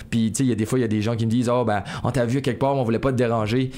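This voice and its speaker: Very fast male speech at a medium pitch, monotone with flat intonation. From Acadian New Brunswick, Néguac region. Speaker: singer-songwriter. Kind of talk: interview. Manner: hesitant, many repetitions.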